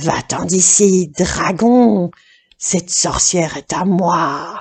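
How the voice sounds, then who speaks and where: A woman in a put-on character voice, gruff and growling, at a medium pitch and a very slow pace. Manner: growling, threatening.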